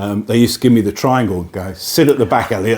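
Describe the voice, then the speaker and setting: Noticeable background noise behind a man at medium pitch, his pitch varying in an ordinary way. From Midlands and Cornwall, England. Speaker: singer-songwriter. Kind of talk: radio interview. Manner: halting.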